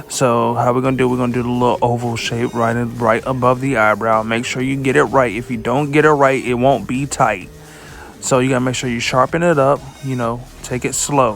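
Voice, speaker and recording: Over background music, a man talks at a fairly quick pace in a monotone, flat intonation. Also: medium pitch for a man. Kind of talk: comedic voice-over of a makeup tutorial. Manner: playful, joking.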